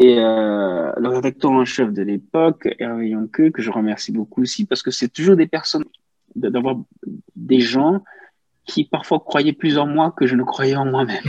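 Recorded with a dry, close sound and no echo, a man speaks at a fairly slow pace in a medium pitch with lively intonation. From Cameroon. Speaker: journalist. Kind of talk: interview conversation. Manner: halting, many repetitions.

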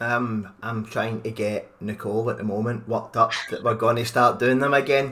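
A man with a Scottish accent speaks at a medium pitch and a moderate pace. His intonation stays monotone and flat, with hardly any pauses. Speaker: podcast host. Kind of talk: casual chat.

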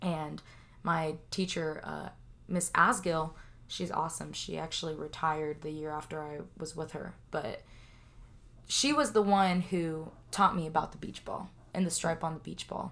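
A woman with a normal speaking voice and an American accent, fairly low in pitch, at a moderate pace with fairly even intonation and big swings in loudness. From California, Central Valley. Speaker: interviewee. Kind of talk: interview.

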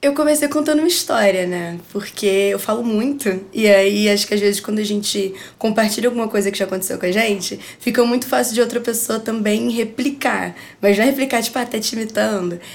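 A plain, everyday voice from a woman, fairly high in pitch with ordinary variation, at a fairly quick pace. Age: 20s. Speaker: advertising student and music marketing agency founder. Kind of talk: casual chat.

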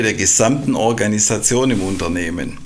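A man with lively intonation talks at a moderate pace, accompanied by audible room echo and noticeable background noise. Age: 50s. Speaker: quality manager at an engineering company. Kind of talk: podcast interview. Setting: studio.

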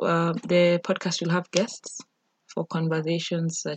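Somewhat breathy speech moves at a moderate pace with a dry, close sound and no echo. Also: woman. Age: 20s. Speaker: podcast host. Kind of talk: solo podcast intro monologue. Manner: casual, hesitant with fillers.

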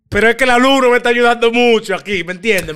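Talking very fast, a man sounds animated, his tone bright and sharp. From Dominican Republic, San Pedro de Macorís. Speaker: podcast host. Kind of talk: casual chat.

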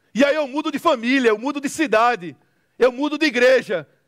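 Recorded dry and close with no echo, a man with a northeastern Brazilian accent speaks at an extremely high pitch with ordinary pitch variation. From Recife, northeastern Brazil. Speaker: preacher. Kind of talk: sermon.

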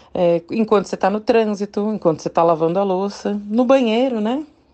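Pitch moves in an ordinary way. The delivery is very fast. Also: woman. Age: 30s. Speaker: nutritionist and podcast host. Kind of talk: casual monologue podcast.

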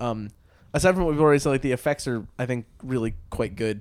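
The recording is very clean, with a silent background. A man talks at a very fast pace with ordinary pitch variation. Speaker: podcast host. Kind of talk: casual chat. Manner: joking, sarcastic.

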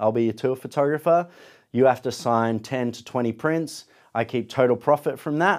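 A man with an Australian accent, medium pitch and ordinary pitch variation, at a moderate pace on a very clean recording with a silent background. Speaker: photographer and podcaster. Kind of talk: casual interview chat. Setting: studio.

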